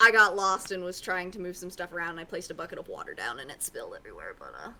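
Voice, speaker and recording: A woman's raspy, put-on character voice, medium in pitch and very fast. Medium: actual play. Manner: argumentative.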